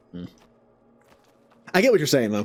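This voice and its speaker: A man's voice at a fairly high pitch. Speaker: video game streamer. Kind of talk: casual gameplay stream chat. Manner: fast; animated.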